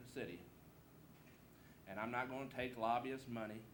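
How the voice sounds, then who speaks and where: A man talks at a fairly quick pace with a Southern US accent and fairly even intonation at a medium pitch. Noticeable background noise and audible room echo sit around his voice. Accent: southern twang. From Southeast Missouri. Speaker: political candidate. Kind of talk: campaign speech. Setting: candidate forum with audience. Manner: informal, folksy.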